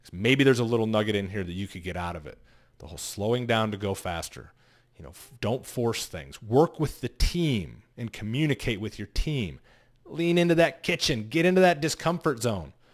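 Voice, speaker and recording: Against a quiet background, a man speaks at a moderate pace with very wide pitch swings and big swings in loudness. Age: 40s. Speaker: vlogger and sales coach; sales coach vlogger. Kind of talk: casual monologue to camera. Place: home room. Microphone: studio mic.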